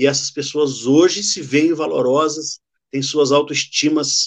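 Against a quiet background, a man with a fairly high pitch speaks at a fairly slow pace. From Rio de Janeiro state, Brazil. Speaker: theologian. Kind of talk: interview testimony.

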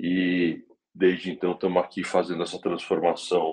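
The speaker is a man with a very deep, low pitch. He talks at a moderate pace. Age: 40s. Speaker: motorsport executive. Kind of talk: interview.

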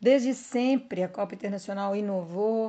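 Against a quiet background, a woman with a dark, mellow, somewhat breathy tone speaks at medium pitch and moderate pace with lively intonation. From Brazil, countryside. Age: 50s. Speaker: veteran mountain bike racer. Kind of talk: podcast interview.

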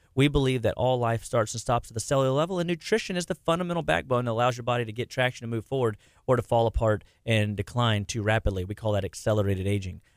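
A man at medium pitch talking very fast with lively intonation, a very clean recording against silence, dry and close with no echo. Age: 40s. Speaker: nutrition clinician. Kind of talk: radio interview.

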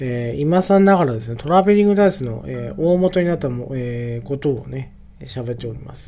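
This man speaks at a medium pitch with lively intonation and big swings in loudness. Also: moderate pace. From Japan, northern Oita (Yabakei). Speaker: podcaster. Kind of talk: casual solo monologue. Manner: halting, many fillers.

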